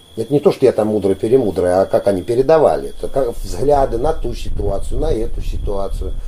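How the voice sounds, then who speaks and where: A man at a fairly quick pace, with hardly any pauses. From Volgograd region, Don Cossack area. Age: 50s. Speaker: folk ensemble leader and teacher. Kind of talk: interview.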